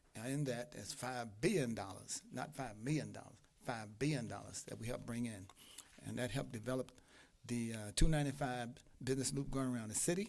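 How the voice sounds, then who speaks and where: A man at a medium pitch with ordinary variation, fairly quick, with audible room echo. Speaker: imam and public commenter. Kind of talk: public comment at city council. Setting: city council meeting. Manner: fast.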